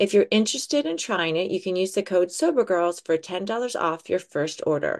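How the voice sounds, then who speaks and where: Speaking with a normal speaking voice, a woman uses lively intonation at a medium pitch and moderate pace, with hardly any pauses. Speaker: podcast host. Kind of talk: casual chat.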